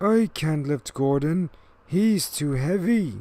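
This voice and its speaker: A put-on character voice delivered at a very slow pace, in a very clean recording with a silent background. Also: man, fairly high pitch for a man. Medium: read story.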